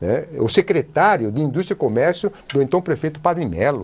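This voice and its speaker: A man talks at a moderate pace. His pitch moves in very wide swings. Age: 70s. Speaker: politician. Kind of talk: TV interview. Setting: TV studio.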